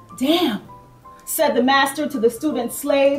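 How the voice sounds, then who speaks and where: Music plays in the background as the speech moves at a fairly slow pace with ordinary pitch variation. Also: woman. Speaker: spoken word poet. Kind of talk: spoken word poetry performance.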